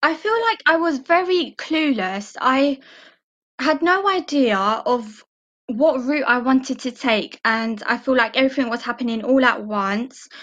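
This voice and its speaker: With an East London accent, a woman speaks in a high pitch at a fairly slow pace, her intonation lively over a quiet background. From England, East London (Barking and Dagenham). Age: 20s. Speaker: admin receptionist, former apprentice. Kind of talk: interview.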